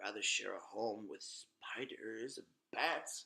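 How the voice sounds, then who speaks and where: The man is doing a put-on character voice. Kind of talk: gothic horror narration. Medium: read story. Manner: dramatic, ominous.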